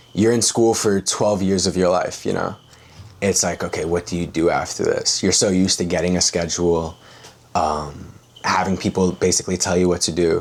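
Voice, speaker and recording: Noticeable background noise accompanies this recording. A man with a very deep, low pitch talks at a moderate pace. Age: 20s. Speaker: high-ticket sales closer. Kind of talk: interview. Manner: casual, filler-heavy.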